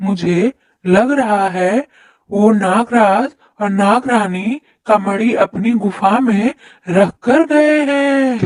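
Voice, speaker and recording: This cartoonish character voice has a fairly high pitch and a very slow pace. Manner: fawning, eager.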